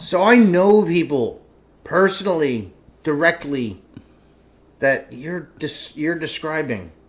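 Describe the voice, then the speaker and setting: A man talks at a very slow pace, leaving long, frequent pauses. His fairly high voice carries lively intonation. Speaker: talk show host. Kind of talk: casual chat. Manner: loud.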